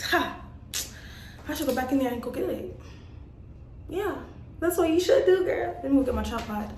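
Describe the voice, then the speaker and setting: Amid audible room echo, a woman with a high pitch talks at a fairly quick pace with lively intonation, broken by long, frequent pauses. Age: 20s. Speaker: truck driver vlogger. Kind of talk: casual vlog. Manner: casual and chatty.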